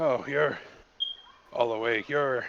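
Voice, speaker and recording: Using a put-on character voice, a man sounds raspy at a medium pitch. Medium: actual play. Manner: weary, clipped.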